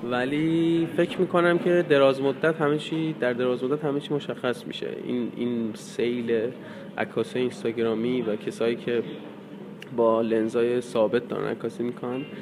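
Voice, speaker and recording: Lively intonation from a man, with noticeable background noise. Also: medium pitch for a man, moderate pace. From Iran, North Khorasan (Bojnurd). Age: 20s. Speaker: news photographer. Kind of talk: interview.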